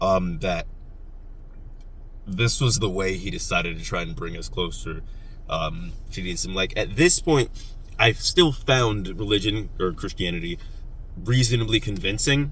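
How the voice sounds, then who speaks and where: A man with long, frequent pauses, big swings in loudness and audible room echo. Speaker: YouTuber talking philosophy and politics. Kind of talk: casual monologue. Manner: fast.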